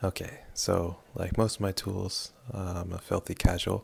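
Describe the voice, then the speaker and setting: A man with very deep, low pitch, somewhat breathy, at a fairly slow pace with fairly even intonation, in a very clean recording with a silent background. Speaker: hobbyist game modding programmer. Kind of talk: screen-recorded tutorial. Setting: at home late at night. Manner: hesitant with many fillers.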